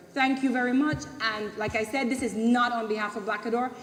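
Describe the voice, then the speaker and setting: Talking at a very fast pace over noticeable background noise, a woman keeps a fairly high pitch and fairly even intonation. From Belize. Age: 40s. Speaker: community member. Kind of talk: public meeting speech. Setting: public consultation meeting.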